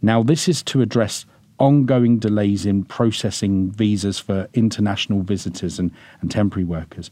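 With a British accent, a man talks at a moderate pace. His fairly low voice has a dark, mellow tone and ordinary pitch variation. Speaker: podcast host and immigration lawyer. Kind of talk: scripted intro then interview conversation. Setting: recording studio.

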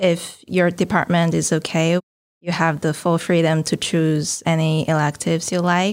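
Monotone, flat intonation from a woman with a Chinese accent, fairly low in pitch, at a moderate pace and very even loudness, in a very clean recording with a silent background. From China. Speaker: PhD student. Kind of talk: casual interview.

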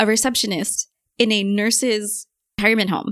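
A woman speaks in a normal speaking voice with an American accent, her pitch fairly high and her intonation fairly even. The recording is very clean, with a silent background. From New York City. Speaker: medical cybersecurity community organizer. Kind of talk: casual interview.

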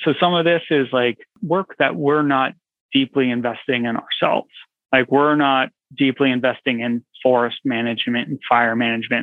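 This man has an unremarkable speaking voice with an American accent and medium pitch. He speaks at a moderate pace with ordinary pitch variation. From California. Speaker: foundation program officer. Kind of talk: interview.

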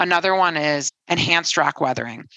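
A woman with a Midwestern American accent has a bright, sharp tone and some vocal fry. Her intonation stays fairly even. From Detroit, Michigan. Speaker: climate company CEO and engineer. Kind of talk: interview.

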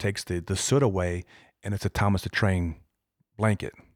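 A man's very deep, low voice with an American accent and monotone, flat intonation, on a very clean recording with a silent background. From Iowa. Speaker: police detective, former football player. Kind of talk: interview storytelling. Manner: hesitant, many um fillers.

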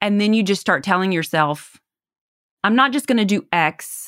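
On a very clean recording with a silent background, a woman speaks in a Southern US accent. Her pace is moderate and her intonation lively. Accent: Southern US twang. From US South. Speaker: salesperson and podcast guest. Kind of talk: casual interview chat.

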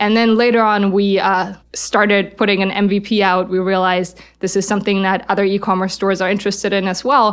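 In a German accent, a woman of medium pitch speaks at a fairly quick pace with monotone, flat intonation and very even loudness on a very clean recording with a silent background. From Germany. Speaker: startup founder and CEO. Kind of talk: interview.

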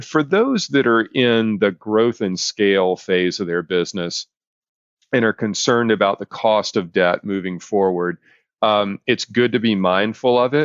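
A man with an unremarkable speaking voice, fairly low pitch and ordinary pitch variation, at a fairly slow pace. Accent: American. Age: 50s. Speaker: business consultant podcast host. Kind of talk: solo business podcast, educational monologue.

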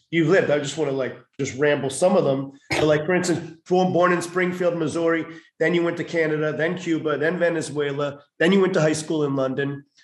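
Here is a plain, everyday voice. It belongs to a man with a fairly high pitch. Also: fairly even intonation, fairly quick pace. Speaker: acting school teacher and podcast host. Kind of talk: casual interview.

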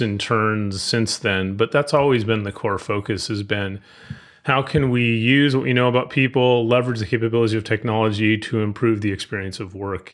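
In a normal speaking voice, a man at medium pitch moves at a fairly quick pace with fairly even intonation. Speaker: HR technology expert. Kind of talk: casual interview. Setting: podcast interview.

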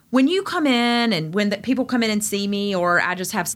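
A woman with an Eastern North Carolina accent, medium pitch, lively intonation and a very fast pace. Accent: Eastern North Carolina Southern. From Eastern North Carolina, Greenville. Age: 40s. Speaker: physician. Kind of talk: casual interview. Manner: animated.

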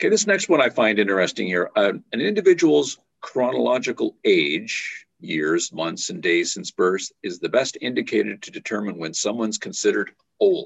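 The man keeps a moderate pace. His volume rises and falls in big swings. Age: 60s. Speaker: podcast host. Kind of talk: casual interview.

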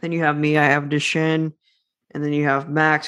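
A man's voice sits fairly high. Behind him, the background stays quiet. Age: 20s. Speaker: author, young entrepreneur and public speaker with a muscular disease. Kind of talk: interview conversation. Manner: loud, energetic.

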